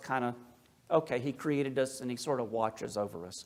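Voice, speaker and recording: On a very clean recording with a silent background, a man with a slight Appalachian accent talks at a moderate pace. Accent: slight Appalachian lilt. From US South, Appalachia. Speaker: Orthodox priest, speaker. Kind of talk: lecture. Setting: church talk with audience. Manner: casual, conversational asides.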